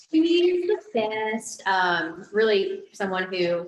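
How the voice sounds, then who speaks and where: With a South Carolina accent, a woman speaks with ordinary pitch variation. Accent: Southern US (South Carolina). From South Carolina, US South. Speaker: guest speaker. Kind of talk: personal testimony talk. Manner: casual, conversational.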